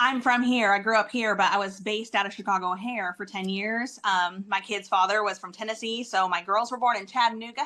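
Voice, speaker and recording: A woman with an American accent speaks at a fairly quick pace and medium pitch, with fairly even intonation and hardly any pauses. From US, local to the show's area. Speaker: event planner and home stager. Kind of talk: podcast interview.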